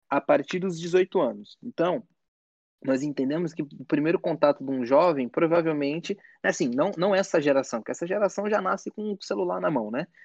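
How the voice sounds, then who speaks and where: Against a quiet background, the words come out at a fairly quick pace. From São Paulo, Brazil. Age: 20s. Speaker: education project co-founder. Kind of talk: casual chat.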